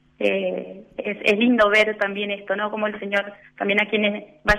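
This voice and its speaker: In an Argentine accent, a woman talks at a medium pitch with monotone, flat intonation. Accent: Rioplatense Argentine Spanish. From Argentina, Punta Alta. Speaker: religious sister. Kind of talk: radio interview. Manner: hesitant, many fillers.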